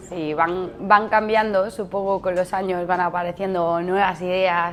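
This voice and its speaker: The pace here is fairly slow. The intonation is fairly even throughout. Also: woman. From Spain, Mallorca (Palma). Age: 30s. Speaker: barista and café manager. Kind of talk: interview answers. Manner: hesitant, with fillers and restarts.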